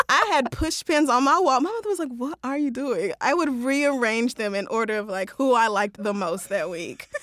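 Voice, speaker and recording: Animated and high-pitched, a woman with an American accent speaks at a moderate pace with hardly any pauses. Her pitch swings very widely over noticeable background noise. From Oklahoma (Tulsa), US South. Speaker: podcast host. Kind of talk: casual interview chat. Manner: animated, frequent laughter.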